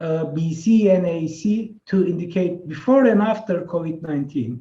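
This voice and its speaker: A dark, mellow tone with ordinary pitch variation and a Turkish accent. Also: man. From Turkey. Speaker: professor. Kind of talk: webinar presentation. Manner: hesitant with filler sounds.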